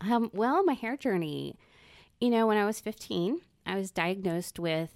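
Recorded very cleanly against a silent background, with a dry, close sound and no echo, a woman in an ordinary speaking voice talks at a moderate pace with lively intonation. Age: 40s. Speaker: salon client, guest. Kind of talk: casual chat.

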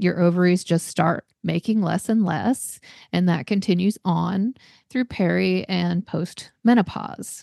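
A woman with a normal speaking voice and ordinary pitch variation over a quiet background. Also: dry, close sound with no echo. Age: 50s. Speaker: women's weight loss coach and podcast host. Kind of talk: solo podcast talk.

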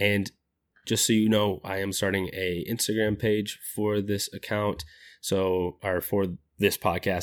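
A man's plain, everyday voice, fairly low with fairly even intonation, on a very clean recording with a silent background. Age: 20s. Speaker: podcast host and life coach. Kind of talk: casual solo podcast intro.

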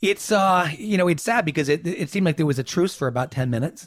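Talking at a very fast pace, a man sounds somewhat breathy, with ordinary pitch variation and a dry, close sound with no echo. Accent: American. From New York. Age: 50s. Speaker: political consultant. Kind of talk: interview. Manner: halting, many repetitions and fillers.

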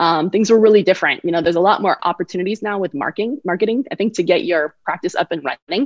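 Speaking at a very fast pace with hardly any pauses, a voice with an American accent shows ordinary pitch variation in a dry, close sound with no echo. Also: woman, medium pitch for a woman. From San Francisco Bay Area, US. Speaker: orthodontist and dental consultant. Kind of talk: interview.

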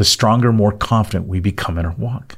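A man with an ordinary speaking voice talks at a fairly low pitch, using ordinary pitch variation. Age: 60s. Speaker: podcast co-host, chronic pain survivor. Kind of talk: faith-based podcast conversation.

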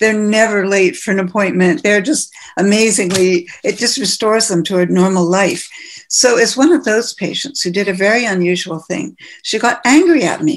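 With a Canadian accent, an unremarkable speaking voice moves at a moderate pace with lively intonation. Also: woman, medium pitch for a woman. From western Canada (Manitoba, Calgary, Vancouver). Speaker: ophthalmologist, cosmetic medicine pioneer. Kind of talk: interview.

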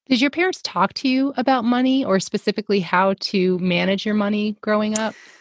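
Close and dry with no echo over a quiet background, a woman with an American accent talks at a fairly quick pace with hardly any pauses, her fairly high, somewhat breathy voice held at very even loudness with ordinary pitch variation. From US South. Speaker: podcast co-host. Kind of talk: casual chat.

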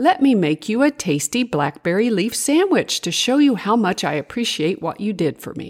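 The delivery is an unforced reading voice. The text comes out read without any push.

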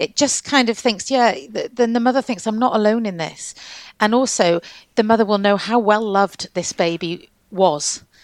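Speaking in a plain, everyday voice, a woman keeps a moderate pace at a fairly high pitch with ordinary pitch variation. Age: 50s. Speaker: midwife and lactation consultant. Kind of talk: interview conversation.

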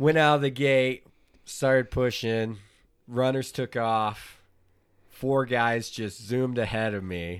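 A man with an American accent speaks at a very slow pace, his medium pitch showing ordinary variation, on a very clean recording with a silent background. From Oklahoma, US. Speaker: podcast co-host, ultrarunner. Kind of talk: casual chat. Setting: home office studio.

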